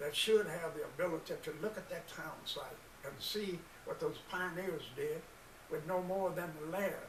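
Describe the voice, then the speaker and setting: Through noticeable background noise and audible room echo, a man with a high pitch speaks at a fairly slow pace. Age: 80s+. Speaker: community organization founder, military veteran. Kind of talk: presentation speech.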